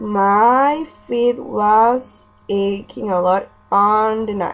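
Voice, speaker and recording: Music plays in the background as someone speaks with a Spanish accent. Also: woman. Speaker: language student. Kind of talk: scripted role-play monologue.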